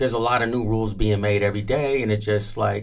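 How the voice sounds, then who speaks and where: A man with an American accent speaks at a fairly low pitch in a monotone, flat delivery. There is audible room echo. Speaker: music industry veteran. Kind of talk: interview. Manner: loud.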